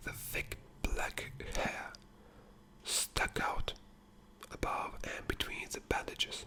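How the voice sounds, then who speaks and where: A man whispering over noticeable background noise. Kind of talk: asmr book reading. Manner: whispered, soft.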